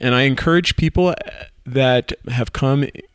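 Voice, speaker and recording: A man talks in a plain, everyday voice. His pitch is medium and his pace moderate. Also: dry, close sound with no echo. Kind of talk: casual chat.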